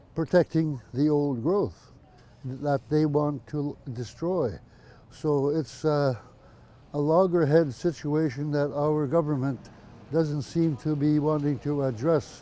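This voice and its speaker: Very slow speech from a man at a fairly high pitch, with a dark, mellow tone. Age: 80s+. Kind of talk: interview testimony. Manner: halting, many fillers.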